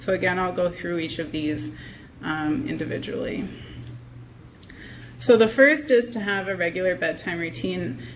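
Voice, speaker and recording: With audible room echo, a woman talks at a moderate pace in a medium pitch, her voice making very wide pitch swings and broken by long, frequent pauses. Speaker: health psychologist giving a talk. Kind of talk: lecture.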